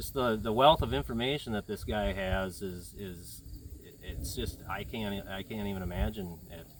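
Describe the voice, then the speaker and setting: A man with a fairly low pitch, lively intonation, vocal fry and big swings in loudness, in a Minnesotan accent. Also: moderate pace. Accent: Minnesota. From central Minnesota. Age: young. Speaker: aspiring sheep and cattle farmer. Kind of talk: casual interview. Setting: on a farm. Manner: animated.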